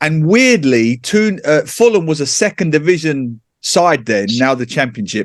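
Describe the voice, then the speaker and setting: With an East London accent, a man speaks fairly slowly in a fairly high voice that has very wide pitch swings. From England, East London. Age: 40s. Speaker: author and football pundit. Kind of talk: casual chat. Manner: animated.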